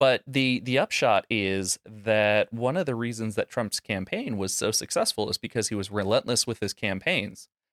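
A man with a plain, everyday voice speaks at medium pitch and a moderate pace, with hardly any pauses. The sound is dry and close, with no echo. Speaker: podcast host. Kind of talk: casual political commentary, sarcastic. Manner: sarcastic, deadpan.

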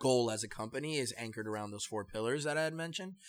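A man with an American accent and an ordinary speaking voice, medium in pitch with ordinary pitch variation. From New York, the Bronx. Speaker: salsa project founder and brewery manager. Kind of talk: interview conversation.

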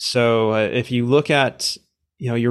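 Delivered at a moderate pace with fairly even intonation, a plain, everyday voice comes through in a very clean recording with a silent background. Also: man. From Canada. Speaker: venture capital investor. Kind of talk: interview.

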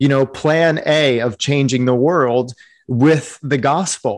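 Delivered at a very slow pace, the voice shows ordinary pitch variation. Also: man. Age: 40s. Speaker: pastor and author. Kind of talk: interview on a webinar. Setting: video call. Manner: animated.

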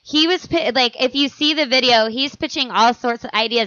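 At a moderate pace, a woman speaks at a high pitch with ordinary pitch variation. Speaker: podcast host. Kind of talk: casual comedic chat.

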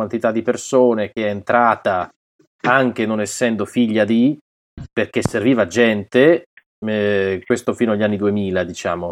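A man with a plain, everyday voice, pitched fairly low with ordinary variation. He speaks at a moderate pace in a dry, close sound with no echo. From Piedmont, Italy (Alessandria). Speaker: voice actor. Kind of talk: casual interview.

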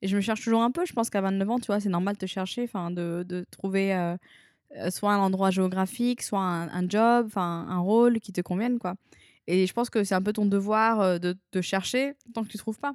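In a normal speaking voice, a woman talks at a moderate pace with fairly even intonation. The very clean recording has a silent background and a dry, close sound with no echo. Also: medium pitch for a woman. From southern France (Arles). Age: 20s. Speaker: expat manager in Japan. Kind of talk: interview.

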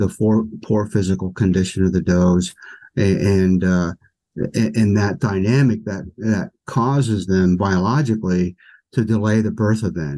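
A man's fairly low voice with an American accent and a dark, mellow tone, at a fairly slow pace with ordinary pitch variation. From US Northeast, south central Pennsylvania. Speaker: wildlife biologist. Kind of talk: interview conversation. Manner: halting, many fillers.

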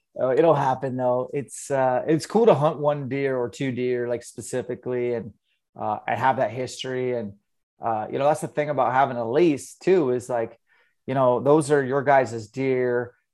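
Against a quiet background, a man with an American accent talks at a moderate pace with fairly even intonation, an unremarkable speaking voice. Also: medium pitch for a man. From Eastern Washington, US. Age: 40s. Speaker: hunter and fitness coach. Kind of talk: casual interview.

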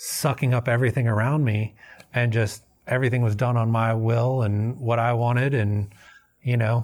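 A man speaks at a medium pitch and a moderate pace in a flat monotone with very even loudness. The recording is very clean, with a silent background. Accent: Southern US. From US South, Memphis, Tennessee. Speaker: recovering alcoholic, Air Force veteran. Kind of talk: personal testimony interview. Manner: casual, many fillers.

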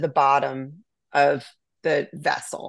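Against a quiet background, a woman talks in an American accent. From Southern California and Virginia, US. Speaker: winery owner. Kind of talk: interview conversation.

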